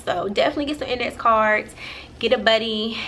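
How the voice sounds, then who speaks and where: Noticeable noise sits in the background. A woman talks at a fairly high pitch. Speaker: vlogger. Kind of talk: casual vlog. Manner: halting, many fillers.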